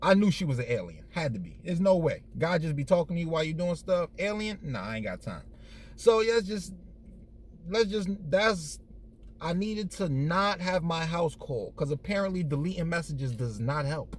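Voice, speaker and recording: Loud and animated, a man talks at a moderate pace with a high pitch and lively intonation. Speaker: storyteller vlogger. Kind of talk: casual storytelling.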